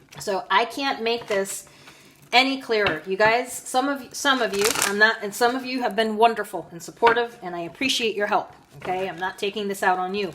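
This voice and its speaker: Over noticeable background noise, a woman talks at a fairly high pitch and moderate pace, with ordinary pitch variation and big swings in loudness. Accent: American. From United States. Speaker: tarot reader. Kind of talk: monologue to viewers, tarot reading. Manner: firm, scolding.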